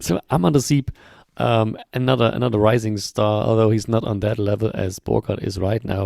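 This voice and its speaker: A man's fairly low, dark, mellow voice with a German accent, at a moderate pace, in a dry, close sound with no echo. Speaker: football podcast host. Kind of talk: casual chat. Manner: hesitant, many fillers.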